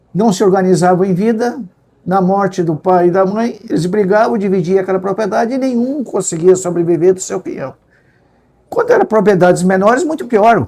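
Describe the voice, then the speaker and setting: A man's high-pitched voice with a dark, mellow tone, a fairly quick pace and ordinary pitch variation. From Rio Grande do Sul, Brazil (Pelotas area). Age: 70s. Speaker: agricultural economist and consultant, retired professor. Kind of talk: interview.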